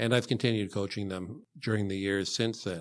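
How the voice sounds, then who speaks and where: A man speaks at a moderate pace with fairly even intonation, in an ordinary speaking voice. The recording is very clean, with a silent background. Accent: Canadian. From Canada, Hamilton, Ontario. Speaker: school board trustee candidate. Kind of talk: interview. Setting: studio.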